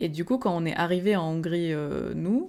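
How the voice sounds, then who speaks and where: Recorded very cleanly against a silent background, a woman with a fairly low pitch speaks at a fairly slow pace. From Hungary. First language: Hungarian (speaking French). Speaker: podcast co-host. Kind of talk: casual chat. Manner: hesitant, many fillers.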